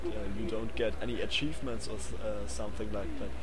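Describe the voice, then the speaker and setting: A man with a German accent is heard over noticeable background noise, with audible room echo. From Germany. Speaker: gaming YouTuber. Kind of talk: game review commentary. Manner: halting, many fillers. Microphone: poor headset, low volume.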